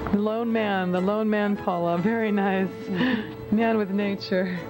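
A fairly slow pace with clear music in the background. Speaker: interviewer. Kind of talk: interview question. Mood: warm, encouraging. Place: home room.

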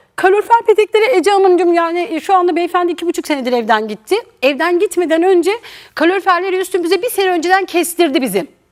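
Animated in tone, a woman talks at a very fast pace in an extremely high pitch. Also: lively intonation. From eastern Turkey (Erzincan family). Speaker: talk show guest. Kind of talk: testimony.

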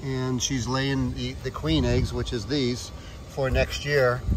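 Over noticeable background noise, a man talks at a fairly slow pace in a dry sound with no echo. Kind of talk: explanatory commentary. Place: open country. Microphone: phone near.

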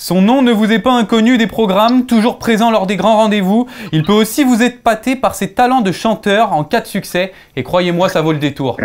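A man with high pitch, at a moderate pace. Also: ordinary pitch variation. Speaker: show host. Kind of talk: sports presenting and debate moderation. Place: studio. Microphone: lapel.

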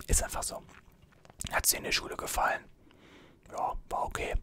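A man whispering, with long, frequent pauses. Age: 20s. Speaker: YouTuber and student; YouTuber. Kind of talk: ASMR Q&A video. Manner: soft-spoken. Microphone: studio mic.

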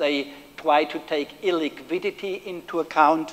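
This man speaks with a German accent at a fairly slow pace. His intonation stays fairly even. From Germany. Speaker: professor. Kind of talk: lecture. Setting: stage with audience. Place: hall.

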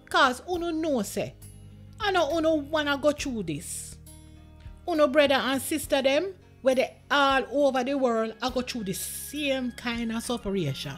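Over music in the background, a woman with a Jamaican accent and a high pitch speaks at a fairly slow pace. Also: lively intonation. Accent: Jamaican Patois. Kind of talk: scripture reading.

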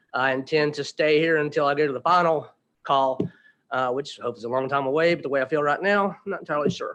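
With an Appalachian accent, a man talks very fast in a fairly high voice with ordinary pitch variation. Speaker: resident speaking at public hearing. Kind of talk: public comment. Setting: council meeting. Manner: halting.

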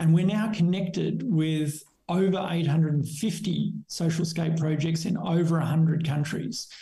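Over a quiet background, a man with an Australian accent and a high pitch speaks at a very slow pace in a dark, mellow tone. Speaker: skateboarding charity founder; podcast guest. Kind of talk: interview. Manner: halting. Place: home room. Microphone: webcam.

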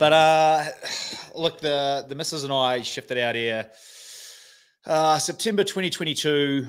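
Against a quiet background, a man speaks with a New Zealand accent. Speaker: internet personality, sports bettor; podcast guest. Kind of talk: casual chat. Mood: relaxed, joking. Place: home room. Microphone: studio mic.

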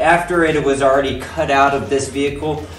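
A man speaks at a moderate pace with audible room echo. Faint music plays in the background. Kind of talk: casual build vlog explanation. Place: garage. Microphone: phone near.

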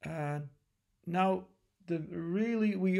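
With a Dutch accent, the speaker talks at a fairly slow pace with ordinary pitch variation against a quiet background. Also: man. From Netherlands. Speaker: lecturer; university lecturer. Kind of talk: lecture. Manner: hesitant, many filler sounds. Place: home room. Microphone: webcam.

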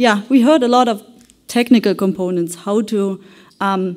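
A woman speaks at a moderate pace with ordinary pitch variation. Her tone is dark and mellow, set against a quiet background. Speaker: conference presenter. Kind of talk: conference presentation. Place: hall.

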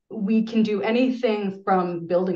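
A woman with an American accent speaks in a dark, mellow tone at a fairly slow pace. Audible room echo surrounds her voice. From US Pacific Northwest. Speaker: archaeologist; presenter. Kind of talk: webinar presentation; lecture and Q&A answers. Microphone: webcam.

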